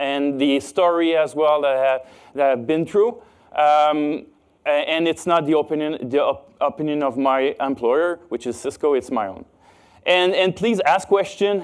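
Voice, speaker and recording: A man speaks with a Quebec accent. His pitch is fairly high. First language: French. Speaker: cybersecurity expert. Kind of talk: conference talk. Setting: stage with audience. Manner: halting, many fillers.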